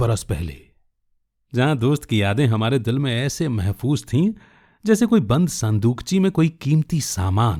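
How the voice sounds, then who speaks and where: A somewhat breathy man's voice with very wide pitch swings on a very clean recording with a silent background. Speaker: radio jockey and storyteller. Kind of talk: short story narration (audio storytelling podcast).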